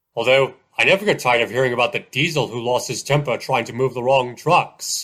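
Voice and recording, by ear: A man's cartoonish character voice, medium in pitch and fairly quick in pace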